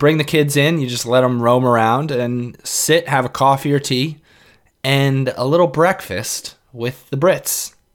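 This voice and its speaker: A man with a New York accent and a fairly high pitch speaks at a fairly slow pace in a very clean recording with a silent background. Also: ordinary pitch variation. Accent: New York area American. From New York City suburbs, US. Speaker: podcast host. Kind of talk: casual monologue.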